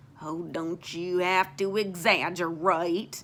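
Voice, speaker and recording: A woman puts on a gruff character voice, fairly low in pitch and monotone, with flat intonation, at a fairly slow pace. The recording is very clean, with a silent background. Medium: read story. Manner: terse, gruff.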